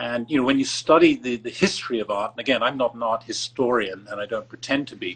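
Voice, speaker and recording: A man with an English accent talks at a fairly quick pace. His tone is bright and sharp, with a medium pitch and ordinary pitch variation. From England. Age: 70s. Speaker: art collector. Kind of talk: interview. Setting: Instagram live video call. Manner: halting, many fillers.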